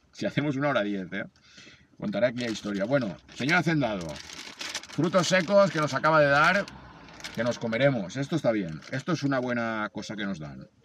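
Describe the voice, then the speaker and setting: Noticeable background noise surrounds a man speaking at a fairly quick pace with very wide pitch swings. He leaves long, frequent pauses. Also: medium pitch for a man. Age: 40s. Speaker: amateur runner and video blogger. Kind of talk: vlog narration.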